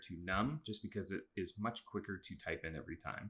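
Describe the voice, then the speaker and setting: Over a silent background in a very clean recording, a man talks at a fairly quick pace with a bright, sharp tone and fairly low pitch. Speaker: middle school teacher. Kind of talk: tutorial. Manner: fast; casual, with fillers.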